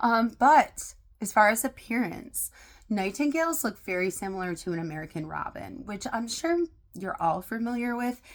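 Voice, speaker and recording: In a very clean recording with a silent background, a woman speaks in an animated tone at a fairly high pitch, her voice making very wide pitch swings. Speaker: video blogger. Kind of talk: casual educational monologue.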